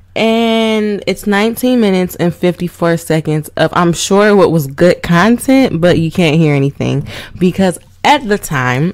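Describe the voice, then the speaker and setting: In a normal speaking voice, a woman talks fairly slowly at medium pitch with lively intonation. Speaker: voice actor. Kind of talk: casual podcast talk to camera. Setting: home recording with microphone. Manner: chatty, informal.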